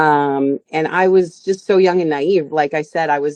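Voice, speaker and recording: A woman with an ordinary speaking voice and a fairly low pitch talks with ordinary pitch variation, the sound dry and close with no echo. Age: 40s. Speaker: singer and stage performer. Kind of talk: interview.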